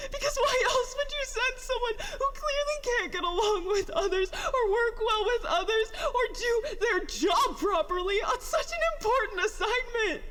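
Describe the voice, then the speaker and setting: Over loud background noise, a put-on character voice at extremely high pitch moves at a moderate pace. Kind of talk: audio drama monologue. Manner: emotional, distressed, tearful.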